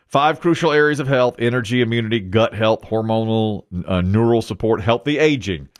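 Over a quiet background, a man speaks at a very fast pace with lively intonation. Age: 50s. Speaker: morning show radio host. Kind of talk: casual chat. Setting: studio. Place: studio. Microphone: studio mic.

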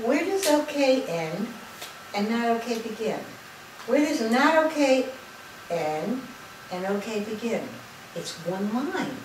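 A woman speaks at a fairly slow pace amid noticeable background noise and audible room echo. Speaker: lecturer on spirituality. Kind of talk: lecture. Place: hall. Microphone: camera far.

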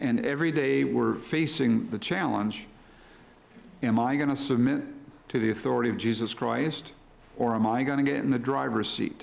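Speech at a moderate pace with ordinary pitch variation. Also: man. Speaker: preacher. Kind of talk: sermon. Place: church. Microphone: podium.

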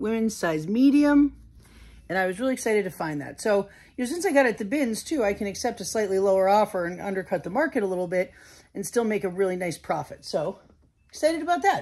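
Talking at a very fast pace, a woman makes very wide pitch swings. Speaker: reseller haul vlogger. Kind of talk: casual vlog chat. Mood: upbeat, excited. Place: home room. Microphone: phone near.

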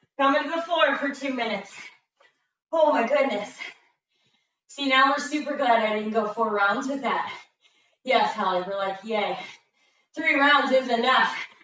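A woman with a high pitch and an energetic tone speaks at a moderate pace with ordinary pitch variation and long, frequent pauses, in audible room echo. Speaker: fitness instructor. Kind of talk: live workout coaching with interval countdowns. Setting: video call. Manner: energetic, clipped countdown cues; encouraging, breathless exclamations mid-exercise. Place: gym. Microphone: camera far.

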